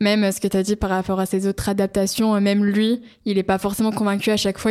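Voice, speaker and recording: Speaking very fast in a monotone, flat intonation, a woman is heard on a very clean recording with a silent background. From northern England (Newcastle). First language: English (speaking French). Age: 20s. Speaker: student. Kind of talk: casual chat.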